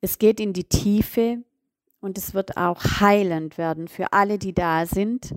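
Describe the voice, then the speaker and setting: A woman's medium-pitched voice at a very slow pace, with fairly even intonation and a dry, close sound with no echo. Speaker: business coach. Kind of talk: solo podcast monologue. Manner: many filler sounds.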